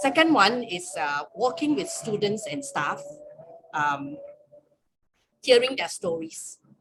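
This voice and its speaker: A woman speaks at a fairly slow pace with very wide pitch swings. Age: 60s. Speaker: campus ministry staff leader. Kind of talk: webinar sharing.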